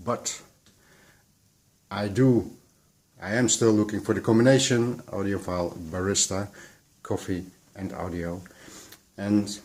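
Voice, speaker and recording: A man with a Dutch accent speaks at a fairly slow pace. His voice is fairly low, with ordinary pitch variation. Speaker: audio and coffee vlogger. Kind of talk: unscripted vlog. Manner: halting, searching for words.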